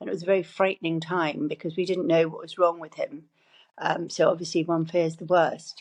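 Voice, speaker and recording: A woman with an English accent, monotone, flat intonation, big swings in loudness and a fairly quick pace. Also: fairly low pitch for a woman. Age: 60s. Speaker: cancer survivor. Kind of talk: interview. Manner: halting.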